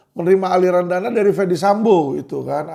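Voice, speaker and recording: A man talks in an animated tone. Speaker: online commentator. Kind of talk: video commentary monologue. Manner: animated, conversational.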